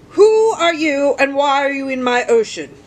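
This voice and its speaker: A woman puts on a character voice pitched high. She moves along at a moderate pace. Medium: read story. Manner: sharp.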